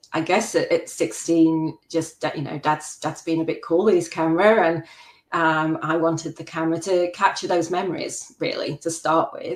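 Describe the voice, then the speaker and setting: A woman talks at a fairly slow pace and a fairly low pitch, in a monotone with flat intonation. She has a slight English Midlands accent. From English Midlands, Worksop, Nottinghamshire. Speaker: macro photographer. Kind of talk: interview.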